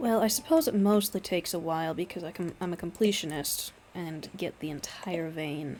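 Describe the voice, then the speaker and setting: Soft-spoken and fairly low in pitch, a woman talks at a moderate pace with hardly any pauses and ordinary pitch variation. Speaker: gaming streamer. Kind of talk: gameplay commentary.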